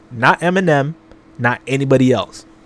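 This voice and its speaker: A man's intonation stays fairly even. Background music plays behind him. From Canada, Toronto. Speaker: music reaction youtuber. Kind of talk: casual reaction commentary.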